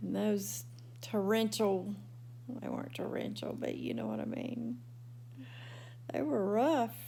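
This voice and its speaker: Audible room echo surrounds a woman who talks at a fairly slow pace with long, frequent pauses. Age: 60s. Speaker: video blogger. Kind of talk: casual vlog monologue. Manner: chatty.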